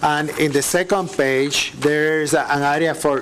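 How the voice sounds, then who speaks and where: A man with a non-native accent talks at a fairly slow pace in a fairly high voice. Noticeable background noise runs underneath. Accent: foreign. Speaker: city parks staff member. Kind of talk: public meeting presentation. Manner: halting.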